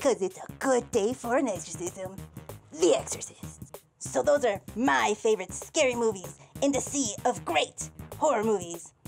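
A cartoonish character voice that sounds female speaks at a moderate pace with a medium pitch over faint background music. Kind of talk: countdown list talk to camera. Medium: puppet.

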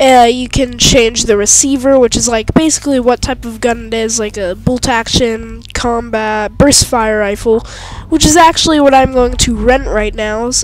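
A woman's high-pitched voice at a moderate pace over noticeable background noise. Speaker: gaming commentator. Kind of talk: let's play gameplay commentary.

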